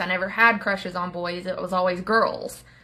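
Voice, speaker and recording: A woman speaks with an Appalachian accent and some vocal fry. Her pitch varies in an ordinary way. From Appalachia, US. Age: 30s. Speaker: social media creator sharing life story. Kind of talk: personal testimony. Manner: casual, with many filler words.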